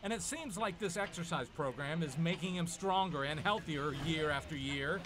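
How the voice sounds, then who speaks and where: Noticeable background noise beneath speech with ordinary pitch variation. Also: man, high pitch for a man, moderate pace. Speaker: TV news reporter. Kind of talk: TV news feature narration.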